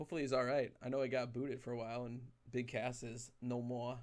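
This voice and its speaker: Speaking at a very fast pace, a man keeps his medium pitch in a monotone, flat intonation. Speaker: card break livestream host. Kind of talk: casual livestream chat. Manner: loud. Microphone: very close to the mic.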